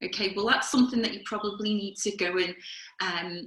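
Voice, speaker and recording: With a Liverpool accent, a woman talks at a medium pitch with ordinary pitch variation. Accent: Liverpool (Scouse). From Liverpool, England. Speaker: career coach. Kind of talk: webinar talk. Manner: conversational.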